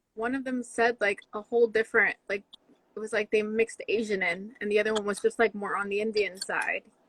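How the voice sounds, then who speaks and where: A woman talks fairly quickly at a fairly high pitch in a flat monotone. The sound is dry and close, with no echo. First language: Spanish. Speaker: podcast guest. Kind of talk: casual chat.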